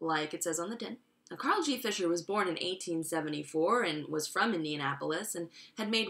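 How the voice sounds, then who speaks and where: With an American accent, the voice moves at a fairly quick pace in an animated tone with lively intonation, over noticeable background noise. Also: woman. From Long Island, New York. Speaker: educational YouTuber. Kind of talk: comedic explainer monologue. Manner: animated, sarcastic; fast, casual.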